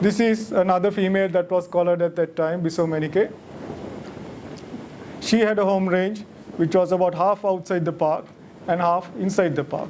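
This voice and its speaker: Over light background noise, a high-pitched man speaks at a moderate pace with fairly even intonation and long, frequent pauses. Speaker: lecturer at a monthly wildlife society talk. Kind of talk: lecture. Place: hall. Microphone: podium.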